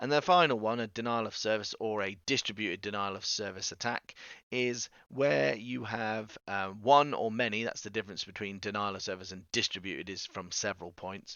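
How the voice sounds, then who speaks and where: Speaking at a fairly quick pace, a man with an English accent shows ordinary pitch variation. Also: fairly low pitch for a man. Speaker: teacher. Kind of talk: recorded video lesson. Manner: fast; casual, conversational.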